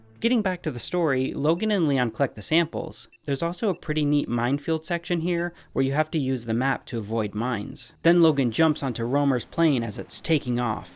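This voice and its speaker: A man with a plain, everyday voice, fairly high in pitch and lively in intonation, at a fairly quick pace on a very clean recording with a silent background. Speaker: video game reviewer. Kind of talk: scripted narration.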